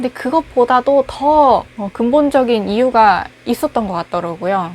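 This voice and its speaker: A woman's intonation is lively as she talks fairly slowly. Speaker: recent graduate job seeker. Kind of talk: casual personal monologue to camera. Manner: rambling, conversational.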